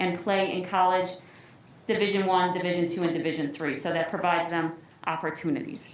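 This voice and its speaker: Amid noticeable background noise and audible room echo, a woman with an American accent talks at a very fast pace. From northern US. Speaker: athletic trainer and parent at public comment. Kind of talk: public comment at school board meeting. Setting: school board meeting.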